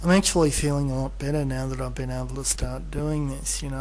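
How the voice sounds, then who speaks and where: Someone with an Australian accent talks at a fairly quick pace over noticeable background noise. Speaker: video blogger. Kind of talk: casual monologue. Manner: hesitant, many fillers.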